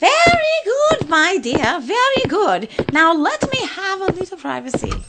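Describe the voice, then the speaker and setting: A woman puts on a squeaky character voice at an extremely high pitch. She talks at a moderate pace. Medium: audio drama.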